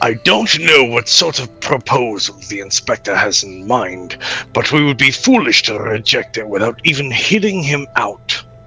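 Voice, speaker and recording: A man in a put-on character voice speaks at a moderate pace and medium pitch, with clear music in the background. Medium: game stream. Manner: dry, deadpan.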